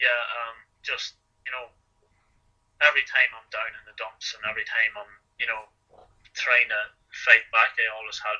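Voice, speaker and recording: A man speaks in an Irish accent at a moderate pace. His loudness swings widely, with long, frequent pauses. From Ireland. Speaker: marathon runner. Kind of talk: interview answer. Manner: hesitant, conversational.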